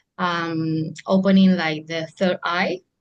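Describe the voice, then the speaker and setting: A woman speaks with a Spanish accent. Her pitch sits fairly low. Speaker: psychic medium. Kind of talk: casual interview chat.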